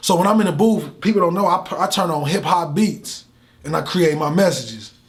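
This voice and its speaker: Here a man talks at a fairly quick pace in a high pitch with ordinary pitch variation. Noticeable background noise is present. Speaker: motivational speaker. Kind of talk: interview. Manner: animated.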